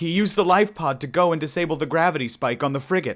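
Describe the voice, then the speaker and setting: A man rattles along at a very fast pace in a put-on character voice, pitched fairly high. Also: very clean recording, silent background. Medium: read story. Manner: nervous.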